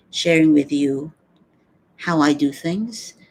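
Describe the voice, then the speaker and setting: Speaking at a fairly slow pace with a Filipino accent, a woman uses a very deep, low voice. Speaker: vlogger and stage show producer. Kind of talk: personal reflection livestream. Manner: halting.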